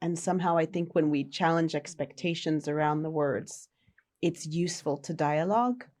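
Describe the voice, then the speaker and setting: In an American accent, a woman with a fairly low pitch and a plain, everyday voice speaks at a moderate pace with ordinary pitch variation. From United States. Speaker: social impact worker. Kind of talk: podcast conversation.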